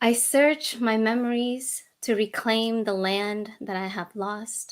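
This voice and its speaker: On a very clean recording with a silent background, a woman speaks very slowly in a fairly high, monotone, flat voice. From Indonesia (Java), moved to central Pennsylvania at ten. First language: Indonesian. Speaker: poet and architect. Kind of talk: poetry reading.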